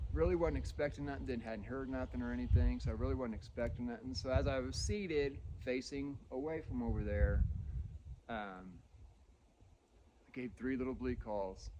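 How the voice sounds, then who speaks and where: A man with a dark, mellow tone and vocal fry speaks at a fairly low pitch, with very wide pitch swings. His pace is moderate with long, frequent pauses, and there's audible room echo. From Indiana, US Midwest. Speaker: deer hunter. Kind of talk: casual first-person hunting story told on location. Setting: outdoors in the woods at the tree stand. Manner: casual, halting with fillers and repeats.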